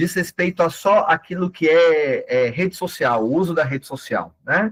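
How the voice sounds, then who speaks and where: A man at a high pitch and fairly slow pace, with a dry, close sound and no echo. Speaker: catechist and digital missionary. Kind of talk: online training lecture. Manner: animated.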